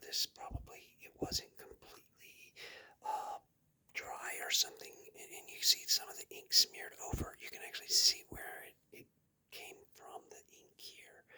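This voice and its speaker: A man is whispering. His pace is moderate. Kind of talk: casual talk to camera, comic book unboxing.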